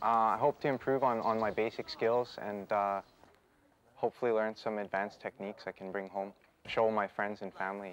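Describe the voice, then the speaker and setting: A man speaks at a fairly quick pace with a Canadian accent, his fairly low voice following fairly even intonation, an ordinary speaking voice. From Canada. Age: 20s. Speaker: kung fu student. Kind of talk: interview.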